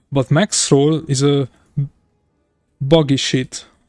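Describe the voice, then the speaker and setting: A man with a Hungarian accent speaks in a fairly high pitch and fairly even intonation, recorded dry and close with no echo. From Hungary. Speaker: video game streamer. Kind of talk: live stream casual chat. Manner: halting.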